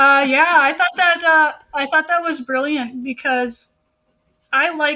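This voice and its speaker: A woman projects a raised voice with a bright, sharp tone. She speaks at a fairly slow pace with fairly even intonation. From US Midwest, Illinois (south of Chicago). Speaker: author. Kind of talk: casual interview chat.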